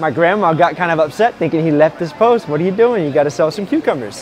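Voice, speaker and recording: A man rattles along at a very fast pace, with light noise in the background. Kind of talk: interview answer. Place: market. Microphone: lapel.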